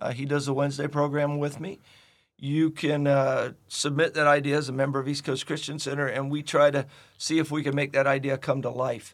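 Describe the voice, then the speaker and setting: A man speaks in a fairly high pitch with a monotone, flat intonation. The recording is very clean, with a silent background. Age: 60s. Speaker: pastor. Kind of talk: devotional Bible teaching. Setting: studio.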